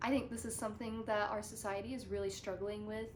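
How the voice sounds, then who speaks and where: There is audible room echo around the woman speaking. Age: 20s. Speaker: student presenter. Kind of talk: educational presentation.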